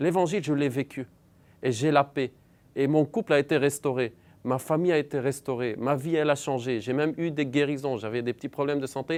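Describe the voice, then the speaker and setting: A man with an Arabic accent speaks at a fairly quick pace in a fairly high voice. The recording is very clean with a silent background. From Lebanon. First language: Arabic (speaking French). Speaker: believer sharing conversion story. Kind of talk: testimony.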